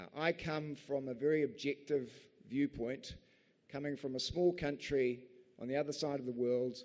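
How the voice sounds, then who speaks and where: Fairly even intonation and a moderate pace mark this speaker with a New Zealand accent. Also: man, fairly high pitch for a man. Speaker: barrister. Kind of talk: conference speech.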